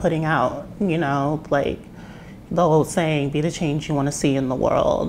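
A woman with an American accent speaks over light background noise. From US West, Las Vegas; Nevada. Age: young. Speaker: musician; interviewee. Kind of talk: casual interview. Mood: calm, reflective. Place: kitchen. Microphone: lapel.

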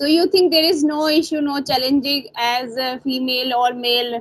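Speaking with an Indian accent, a woman uses a high voice at a moderate pace. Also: quiet background. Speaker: English tutor. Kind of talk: English practice conversation. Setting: video call. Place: home room. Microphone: earbuds.

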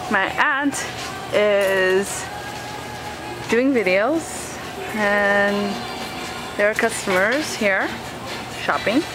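A woman speaks, and clear music plays in the background. Her voice sounds dry, with no echo. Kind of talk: casual vlog chat. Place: shop. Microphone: phone near.

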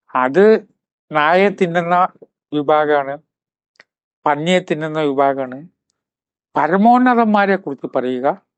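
This man's voice sits fairly high in pitch. It is a normal speaking voice. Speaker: spiritual speaker, writer. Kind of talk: motivational talk.

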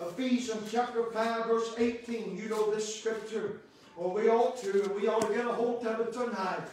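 Delivered at a moderate pace, the monotone, flat intonation sits in strong room echo with light background noise. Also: man, high pitch for a man. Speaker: Baptist preacher. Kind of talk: sermon, preaching to a congregation with call-and-response amens. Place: church. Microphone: camera far.

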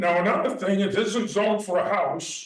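A man with an American accent speaks at a moderate pace in a high voice, with ordinary pitch variation and audible room echo. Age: 70s. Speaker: local businessman addressing town board. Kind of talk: public comment at town meeting. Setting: town hall meeting room. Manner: rambling, conversational.

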